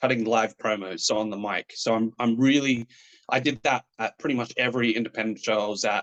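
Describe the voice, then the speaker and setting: The sound is dry and close with no echo as a man talks in an Australian accent. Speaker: professional wrestler. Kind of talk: interview.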